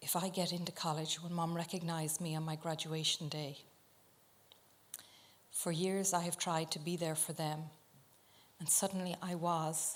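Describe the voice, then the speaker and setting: A woman with an Irish accent speaks at a moderate pace in a fairly low, monotone voice with flat intonation, leaving long, frequent pauses. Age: 50s. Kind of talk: public talk to live audience. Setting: live venue.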